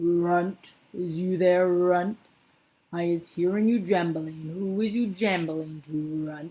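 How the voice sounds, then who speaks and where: A loud, booming, female-sounding put-on character voice speaks at a middle pitch and a fairly slow pace. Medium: read story. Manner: bullying, loud.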